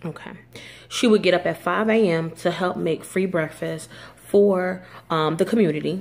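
Her voice is fairly low with vocal fry, and the woman keeps a moderate pace with fairly even intonation.

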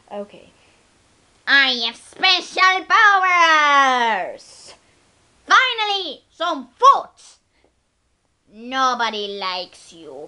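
Using a put-on character voice, a woman talks at a high pitch and a very slow pace, leaving long, frequent pauses.

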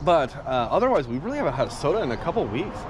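Over light background noise, a man talks at a very fast pace with very wide pitch swings and a dry sound with no echo. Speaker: vlogger. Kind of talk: casual vlog chat. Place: street. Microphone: phone near.

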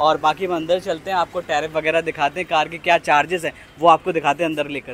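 A man speaks with monotone, flat intonation. The sound is dry with no echo, and there is light background noise. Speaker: travel vlogger host. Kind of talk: casual vlog chat. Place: street.

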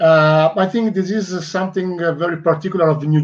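A man speaks at a moderate pace in an Italian accent. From Italy. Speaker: fan club talk show host; talk show host. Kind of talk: casual interview. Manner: halting. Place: home room. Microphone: headset.

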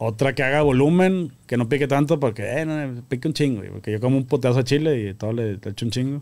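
Barely pausing, a man rattles along at a very fast pace at medium pitch with ordinary pitch variation. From Monterrey, northern Mexico; Mexico. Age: 30s. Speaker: grilling association founder; podcast guest. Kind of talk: casual chat. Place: studio. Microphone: studio mic.

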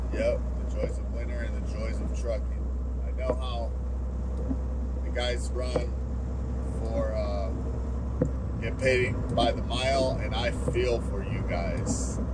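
Over loud background noise, a man speaks at a very slow pace. He leaves long, frequent pauses. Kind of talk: casual vlog chat. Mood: relaxed, resigned. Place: car. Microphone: camera far.

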